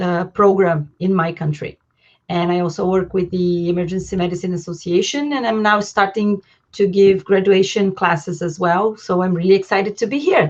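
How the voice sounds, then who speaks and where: Her pitch is medium and varies in an ordinary way as a woman speaks at a moderate pace. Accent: Brazilian. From Brazil. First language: Portuguese. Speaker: emergency physician and residency program director. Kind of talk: casual chat.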